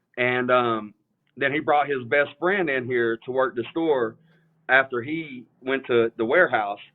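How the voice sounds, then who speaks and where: A man with an East Tennessee accent, medium in pitch, with ordinary pitch variation at a fairly slow pace. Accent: US Southern (East Tennessee). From Eastern Tennessee (Morristown, near Knoxville). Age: 30s. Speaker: sneaker reseller, store owner. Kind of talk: casual interview on livestream. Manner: halting, many fillers.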